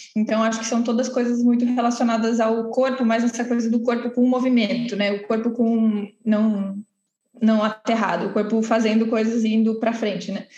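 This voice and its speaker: This woman's voice sits fairly high in pitch. She keeps a moderate pace with monotone, flat intonation. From Santos, São Paulo coast, Brazil. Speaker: cultural venue co-founder. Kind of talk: interview.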